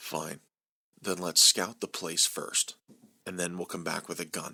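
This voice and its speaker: A man's put-on character voice, raspy and very deep in pitch, at a fairly slow pace. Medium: read story. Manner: terse, urgent.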